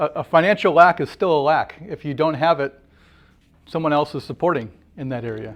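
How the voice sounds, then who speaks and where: A man with an unremarkable speaking voice in an American accent, fairly high in pitch with ordinary pitch variation, at a fairly quick pace with big swings in loudness over a quiet background. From Wisconsin. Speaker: workshop leader. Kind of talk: group discussion.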